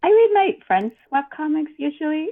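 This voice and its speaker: A woman speaks with very wide pitch swings. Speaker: webcomic creator. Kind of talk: interview. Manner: hesitant, many fillers.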